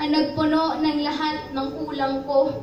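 Amid noticeable background noise and audible room echo, a woman speaks at a fairly slow pace in a high voice with monotone, flat intonation. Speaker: spoken word poet. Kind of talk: spoken word poetry performance. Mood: emotional, devotional. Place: shop. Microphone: camera far.

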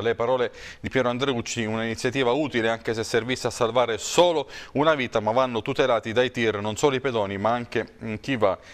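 This man talks at a medium pitch, his intonation fairly even. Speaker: TV news presenter. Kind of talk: press review. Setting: studio. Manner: hesitant, many fillers.

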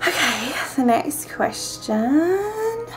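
A woman speaks with an American accent over clear background music. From Georgia, US. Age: 20s. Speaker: vlogger. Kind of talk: casual talk to camera. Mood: playful, a bit shy. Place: home room. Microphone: webcam.

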